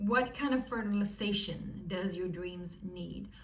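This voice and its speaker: Audible room echo surrounds a woman speaking with a Swedish accent. Her pitch varies in an ordinary way. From Sweden. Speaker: tarot reader. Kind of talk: tarot reading to viewers. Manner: animated.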